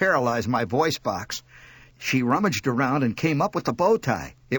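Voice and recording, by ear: Natural-voiced reading aloud, full of lively intonation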